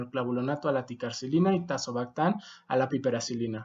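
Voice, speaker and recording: Speaking with a non-native accent, a man keeps a moderate pace and ordinary pitch variation. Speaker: medical doctor and educator. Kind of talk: video lecture.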